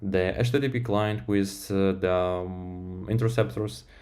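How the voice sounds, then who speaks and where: Fairly slow speech from a man, fairly low in pitch with a dark, mellow tone and lively intonation, in audible room echo. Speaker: software developer streamer. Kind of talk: live-stream tech talk. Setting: live stream. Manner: halting, many fillers.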